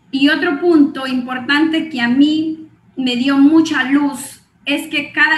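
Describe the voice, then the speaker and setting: A woman's high voice at a very slow pace, with fairly even intonation and audible room echo. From Guatemala. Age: 40s. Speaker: network marketing distributor and clinical psychologist. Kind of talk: motivational training talk.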